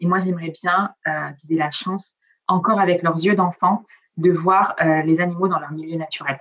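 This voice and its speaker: A woman's fairly low, monotone voice with flat intonation, a moderate pace and long, frequent pauses. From Nice, southern France. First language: Italian (speaking French). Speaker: travel blogger. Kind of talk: casual interview. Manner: hesitant, many fillers.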